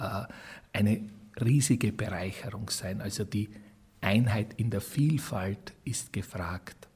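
Somewhat breathy, a man's voice sits at a fairly low pitch. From Burgenland, Austria (Croatian minority). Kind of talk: interview.

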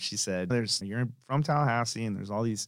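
A man speaks in a normal speaking voice with an American accent, on a very clean recording with a silent background. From Tampa, Florida, US. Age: 40s. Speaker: restaurant founder and CEO. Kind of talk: casual interview. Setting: studio.

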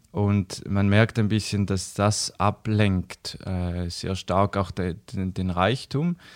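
At a very slow pace, a man with a fairly low pitch speaks with fairly even intonation in a dry, close sound with no echo on a very clean recording with a silent background. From eastern Switzerland, St. Gallen. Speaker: missionary organisation worker. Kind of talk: casual interview chat. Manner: hesitant, many fillers.

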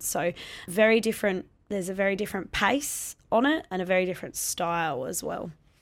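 A woman with an Australian accent speaks fairly quickly at a medium pitch. The recording is very clean, with a silent background. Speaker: Muay Thai fighter and gym owner. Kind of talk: interview conversation.

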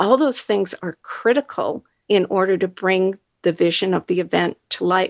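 In a very clean recording with a silent background, a woman talks at a fairly slow pace. Her medium-pitched voice has a dry, close sound with no echo. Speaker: marketing executive. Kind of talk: interview. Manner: soft-spoken.

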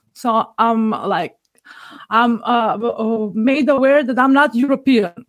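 At a very slow pace, a woman with a Macedonian accent speaks in a fairly high voice with ordinary pitch variation. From North Macedonia. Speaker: podcast listener. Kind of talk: casual interview conversation.

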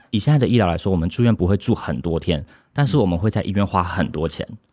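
At a very fast pace, a man talks with a fairly low pitch, a dark, mellow tone and lively intonation. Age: 20s. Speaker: insurance agent. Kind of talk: interview.

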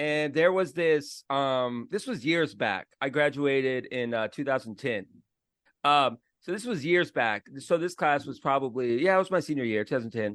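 In a plain, everyday voice, a man with an American accent speaks at a moderate pace with a fairly high pitch and ordinary pitch variation over a quiet background. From Florida. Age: 30s. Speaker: podcast host. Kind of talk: casual chat.

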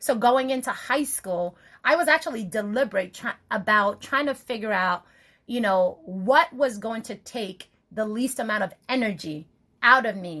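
The voice has a bright, sharp tone and lively intonation. It moves at a moderate pace. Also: woman, fairly high pitch for a woman. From Nigeria. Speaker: podcast host. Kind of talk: casual chat.

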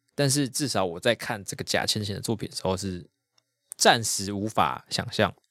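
This is an ordinary speaking voice, a man's, fairly low in pitch with ordinary pitch variation at a moderate pace. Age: 30s. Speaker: podcast co-host. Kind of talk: casual chat.

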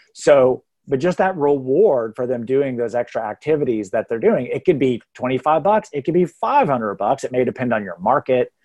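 With an unremarkable speaking voice, the talker moves at a moderate pace with hardly any pauses and lively intonation. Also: man, medium pitch for a man. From Texas. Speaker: real estate hiring consultant. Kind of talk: podcast interview.

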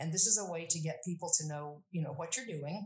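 Her voice is fairly low and somewhat breathy. The woman's pitch varies in an ordinary way. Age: 60s. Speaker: Latin educator. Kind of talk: interview. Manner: halting.

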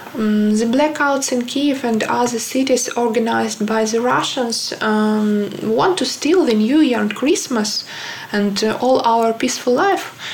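A woman with a Ukrainian accent speaks at a fairly slow pace in a fairly high pitch, her loudness very even and her pitch varying an ordinary amount, with audible room echo and noticeable background noise. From Ukraine. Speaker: illustrator. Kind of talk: personal statement. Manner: halting, many fillers.

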